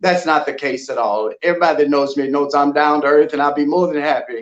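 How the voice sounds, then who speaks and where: An unremarkable speaking voice from a man with an American accent, fairly high in pitch, fairly even in intonation, at a fairly quick pace. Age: 60s. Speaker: gospel artist. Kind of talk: casual chat.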